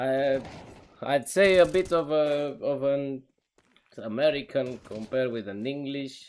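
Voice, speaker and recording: A man speaks with a Romanian accent at a fairly slow pace. His voice sits fairly high, with ordinary pitch variation. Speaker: esports caster. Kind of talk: live commentary; casual chat with stream chat. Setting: live stream.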